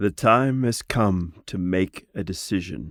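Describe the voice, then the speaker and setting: A man puts on a gruff character voice, fairly low in pitch and at a fairly slow pace, on a very clean recording with a silent background. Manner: solemn, serious.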